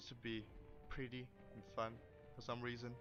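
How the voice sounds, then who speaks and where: At a moderate pace, a man talks with a Danish accent. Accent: Danish accent, noticeable. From Denmark. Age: 20s. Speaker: gaming youtuber. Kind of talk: gameplay commentary. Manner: halting, many fillers and repeats.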